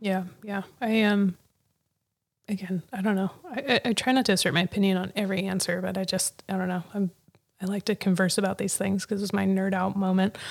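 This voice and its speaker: In an American accent, an ordinary speaking voice moves at a fairly quick pace with fairly even intonation. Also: woman, medium pitch for a woman. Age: 30s. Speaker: podcast host. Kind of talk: casual interview. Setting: live audio chat room.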